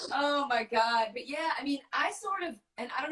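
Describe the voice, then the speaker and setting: A woman in an American accent keeps up a moderate pace. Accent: reduced Southern. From US South. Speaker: singer and actress. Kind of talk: casual chat. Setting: Instagram live video.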